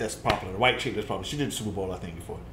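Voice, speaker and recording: A man talks amid light background noise, with audible room echo. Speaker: reaction channel host. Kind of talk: reaction chat with roast clips, casual banter. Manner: laid-back, chatty, laughing, agreeing along with the jokes. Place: home room.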